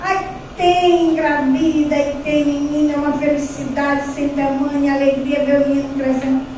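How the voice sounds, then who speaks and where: A woman speaks at a fairly slow pace in a high pitch, her intonation fairly even and her loudness very even, with audible room echo and noticeable background noise. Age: 60s. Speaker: spiritist lecturer. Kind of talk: sermon.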